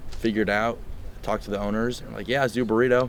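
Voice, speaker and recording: In a monotone, flat delivery at a very fast pace, a man with a fairly low voice speaks amid audible room echo. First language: Spanish. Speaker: college football quarterback. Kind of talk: press conference Q&A. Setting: media availability after practice.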